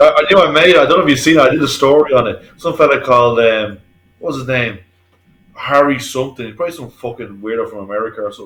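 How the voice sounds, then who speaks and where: With an Irish accent, a man speaks at a very fast pace with big swings in loudness. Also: medium pitch for a man, ordinary pitch variation. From Ireland. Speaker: painter and decorator. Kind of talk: casual chat.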